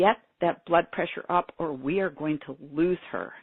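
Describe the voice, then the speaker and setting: A put-on character voice, gruff and raspy, middle in pitch, at a moderate pace with fairly even intonation. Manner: urgent, alarmed.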